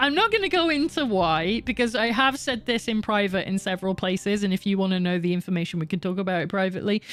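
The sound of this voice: A woman at a very fast pace, hardly any pauses, lively intonation and very even loudness. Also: medium pitch for a woman.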